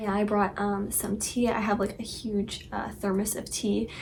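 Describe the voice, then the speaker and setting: A soft-spoken woman talks at a moderate pace. Noticeable background noise and audible room echo come through. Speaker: vlogger. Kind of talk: casual vlog chat. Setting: childhood bedroom at night. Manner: soft-spoken, talking quietly. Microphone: recording may be too quiet.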